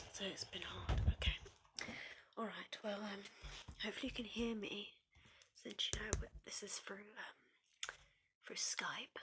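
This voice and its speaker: Someone whispers with a British accent. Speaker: ASMR creator. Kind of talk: therapy role play, one-sided ASMR talk to the listener. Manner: whispering, comforting.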